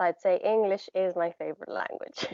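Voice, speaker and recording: A woman talks at a fairly quick pace with a Romanian accent. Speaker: poet and language teacher. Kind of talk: casual interview. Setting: live stream video call.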